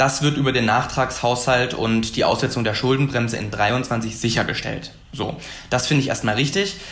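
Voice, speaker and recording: With audible room echo and noticeable background noise, a man at a medium pitch talks at a moderate pace with fairly even intonation. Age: 20s. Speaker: young member of parliament. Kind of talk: debate.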